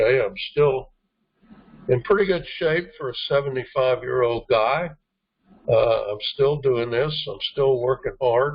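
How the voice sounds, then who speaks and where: At a fairly slow pace, a man with a medium pitch sounds somewhat breathy and uses ordinary pitch variation. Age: 70s. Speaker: network marketing team trainer. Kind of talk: motivational team training talk. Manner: hesitant, many fillers.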